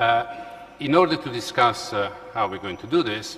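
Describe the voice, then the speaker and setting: A man with an Italian accent speaks at a moderate pace with lively intonation over noticeable background noise. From Italy. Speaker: law professor and panel moderator. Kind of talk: conference panel moderation. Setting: conference hall with audience. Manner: halting, many fillers.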